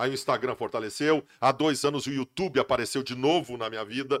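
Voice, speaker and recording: Dry and close with no echo, a man's medium-pitched, plain, everyday voice comes through. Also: very clean recording, silent background. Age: 40s. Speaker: sports journalist. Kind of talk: casual chat.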